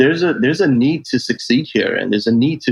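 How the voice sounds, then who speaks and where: A man speaks with a New York accent and lively intonation. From New York City (Brooklyn). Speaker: travel sales manager. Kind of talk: interview.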